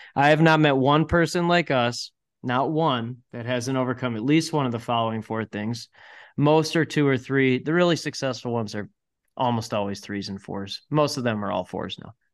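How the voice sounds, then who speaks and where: In a plain, everyday voice, a man talks at a moderate pace and medium pitch, with ordinary pitch variation and big swings in loudness against a quiet background. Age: 40s. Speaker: entrepreneur. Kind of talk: casual chat.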